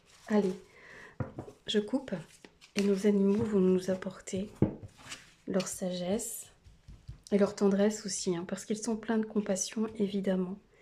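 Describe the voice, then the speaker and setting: Somewhat breathy and dark, mellow in tone, a woman's medium-pitched voice stays flat and monotone at a fairly slow pace, with long, frequent pauses. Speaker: tarot card reader. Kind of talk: tarot reading video. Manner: hesitant with many fillers.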